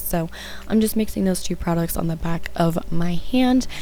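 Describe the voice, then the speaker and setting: The pace stays moderate throughout. Behind the voice, music can be heard. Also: woman. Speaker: makeup tutorial creator. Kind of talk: makeup tutorial voice-over.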